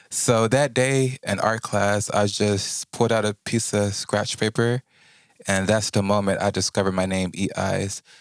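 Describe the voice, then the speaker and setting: A man's normal speaking voice, fairly low in pitch at a moderate pace, in a very clean recording with a silent background and a dry, close sound with no echo. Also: fairly even intonation. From Houston, Texas. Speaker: recording and performing artist. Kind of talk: casual interview. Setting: Instagram Live stream.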